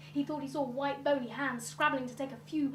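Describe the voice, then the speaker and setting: Noticeable background noise fills the recording. Over it, a woman speaks at a moderate pace. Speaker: storyteller. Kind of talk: live storytelling performance. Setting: live stage. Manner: engaging, expressive.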